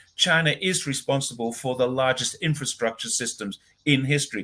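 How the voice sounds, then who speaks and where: With a bright, sharp tone and a fairly high pitch, a man speaks at a moderate pace with ordinary pitch variation. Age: 60s. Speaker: commentator on China. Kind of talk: casual chat. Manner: animated.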